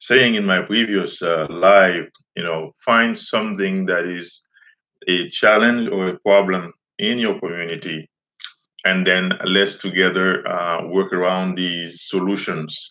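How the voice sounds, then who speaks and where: With a Haitian accent, a man speaks fairly slowly in a very deep, low pitch and fairly even intonation. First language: Haitian Creole. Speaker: teacher and community activist. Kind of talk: live stream monologue. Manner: halting, many fillers.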